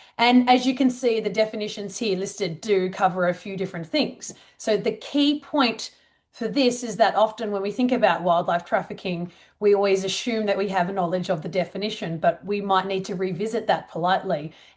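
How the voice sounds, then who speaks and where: Over a quiet background, a woman with an Australian accent talks fairly quickly at a medium pitch, with ordinary pitch variation. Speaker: wildlife trafficking researcher. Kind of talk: conference presentation. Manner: casual.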